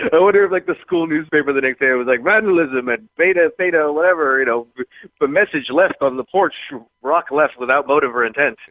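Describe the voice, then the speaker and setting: This man has an unremarkable speaking voice, fairly high in pitch, with ordinary pitch variation. He talks at a fairly quick pace and keeps his loudness very even. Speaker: drinking blogger. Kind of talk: casual chat. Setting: phone call.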